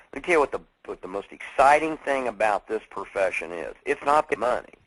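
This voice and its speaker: A man talks at a fairly quick pace in a fairly high voice with vocal fry. His intonation is lively, and his loudness swings widely. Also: dry, close sound with no echo. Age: 50s. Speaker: network marketing speaker. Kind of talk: motivational talk. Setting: conference call. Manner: animated.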